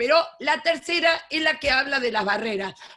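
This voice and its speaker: Raised and projected, a woman's high, bright, sharp voice moves at a fairly quick pace with very wide pitch swings. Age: 70s. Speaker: education lecturer, retired teacher. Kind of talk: lecture.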